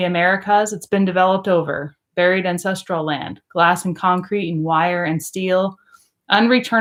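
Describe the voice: Someone is doing plain reading aloud. The intonation is fairly even, and the background is quiet.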